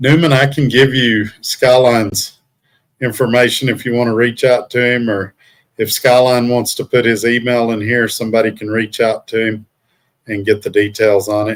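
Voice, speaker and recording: A man with a Southern US accent at medium pitch, moderate in pace, flat and monotone in intonation. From US South. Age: 50s. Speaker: truck driver and livestreamer. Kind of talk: casual live stream chat. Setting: hotel room.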